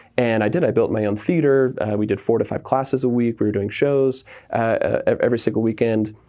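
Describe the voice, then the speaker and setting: A man talks at a very fast clip with an American accent. His pitch is medium and his intonation fairly even. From Southern California. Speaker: comedy writer and improv theater owner. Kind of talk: casual interview.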